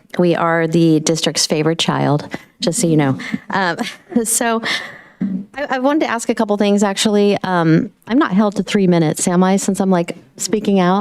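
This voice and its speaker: Over noticeable background noise, a woman speaks at a very even loudness. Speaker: union representative and school secretary. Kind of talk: public comment at board meeting. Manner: fast.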